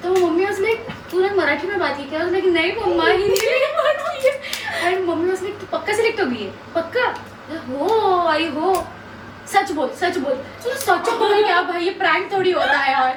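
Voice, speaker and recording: Lively intonation and a Marathi accent mark this voice at a moderate pace. Audible room echo and noticeable background noise accompany it. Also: woman, extremely high pitch for a woman. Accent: Marathi-accented Hindi. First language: Marathi (speaking Hindi). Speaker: reality show contestant. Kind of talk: casual chat.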